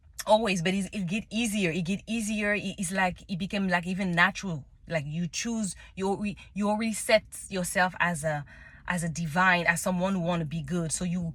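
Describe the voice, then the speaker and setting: A woman talks with a French accent. The recording is very clean, with a silent background. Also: medium pitch for a woman, fairly even intonation, moderate pace. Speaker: tarot reader. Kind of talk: casual monologue. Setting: in a car. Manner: halting, many restarts.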